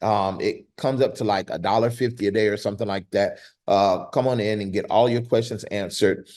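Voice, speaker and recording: Against a quiet background, a man speaks at a fairly quick pace and a medium pitch. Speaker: grant writing teacher. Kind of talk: online class. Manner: animated.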